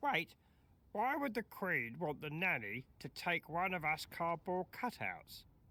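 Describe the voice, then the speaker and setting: At a fairly slow pace, a female-sounding voice uses a put-on character voice with a fairly low pitch. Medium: video game.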